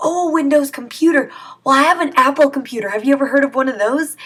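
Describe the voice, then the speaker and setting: A put-on character voice rattles along at a very fast pace and a high pitch. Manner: confused, teasing.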